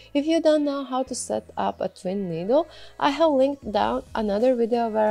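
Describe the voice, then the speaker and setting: Music plays in the background as a woman speaks at a moderate pace. Her pitch swings very widely. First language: not English. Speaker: sewing pattern designer. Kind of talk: tutorial.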